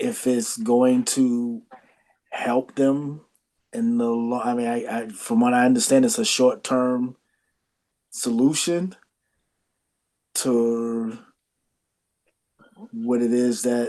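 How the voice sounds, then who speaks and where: At a very slow pace, a man speaks with long, frequent pauses. His medium-pitched voice has a dark, mellow tone and fairly even intonation. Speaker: podcast panelist. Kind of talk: group discussion. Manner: halting, stuttering.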